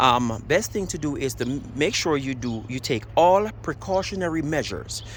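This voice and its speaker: The speaker has a Jamaican accent and lively intonation. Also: man. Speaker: DIY car repair demonstrator. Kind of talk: tutorial. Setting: outdoors. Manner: casual, halting.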